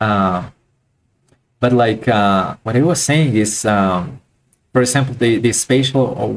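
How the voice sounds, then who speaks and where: A man with a non-native accent, medium pitch, ordinary pitch variation, and a fairly slow pace. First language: not English. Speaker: art teacher. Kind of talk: live online class. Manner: halting, many fillers and repeats.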